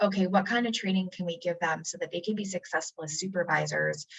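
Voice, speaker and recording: Ordinary pitch variation in a woman's voice set at medium pitch. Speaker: community college workforce development staff. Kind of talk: presentation. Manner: fast.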